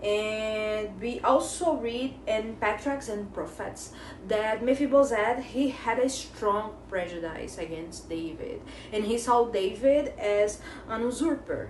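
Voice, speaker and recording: A woman with a non-native accent and a fairly high pitch speaks at a very slow pace with ordinary pitch variation, amid audible room echo and noticeable background noise. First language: not English. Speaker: Bible study teacher. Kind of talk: Bible study lesson. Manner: halting.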